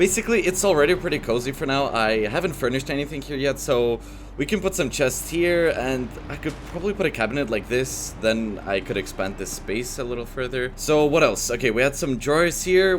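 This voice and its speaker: With lively intonation and hardly any pauses, a man talks at a fairly quick pace and medium pitch over noticeable background noise. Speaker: voice-over translator of gaming videos. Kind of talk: gameplay commentary.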